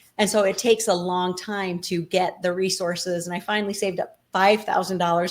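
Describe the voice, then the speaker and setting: This woman has an American accent and a medium pitch, speaking at a moderate pace with hardly any pauses. Her intonation stays monotone and flat. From Colorado City, Arizona-Utah border. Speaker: nonprofit co-founder, former FLDS member. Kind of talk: interview answer.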